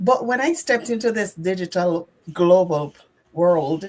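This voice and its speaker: A woman talks with a Jamaican accent. Her pace is very slow. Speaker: nurse. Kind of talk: group sharing on live stream.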